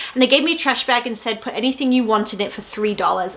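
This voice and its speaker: Amid noticeable background noise, a woman speaks at a fairly high pitch. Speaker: online reseller and YouTuber. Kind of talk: tutorial. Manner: casual, chatty.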